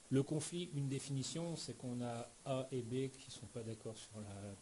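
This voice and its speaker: Somewhat breathy male voice, dark and mellow in tone, with ordinary pitch variation. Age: 40s. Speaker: professional coach and trainer, former tennis player. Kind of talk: interview. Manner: hesitant, with filler words.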